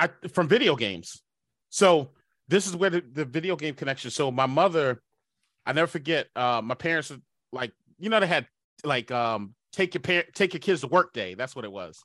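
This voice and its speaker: On a very clean recording with a silent background and a dry, close sound with no echo, a man with a fairly high voice and vocal fry speaks in an animated, upbeat tone at a moderate pace, with very wide pitch swings and long, frequent pauses. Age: 40s. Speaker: cybersecurity company CEO. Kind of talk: casual interview chat.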